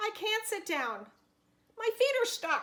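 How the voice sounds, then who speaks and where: A squeaky put-on character voice from a woman, extremely high in pitch and fairly slow. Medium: read story.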